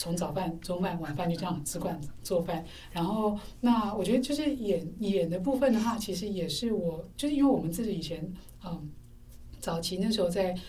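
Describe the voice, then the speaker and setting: Lively intonation from a somewhat breathy woman, dark and mellow in tone, with audible room echo. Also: medium pitch for a woman, moderate pace. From Taipei, Taiwan. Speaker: university lecturer. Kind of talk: casual interview chat. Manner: hesitant, many fillers.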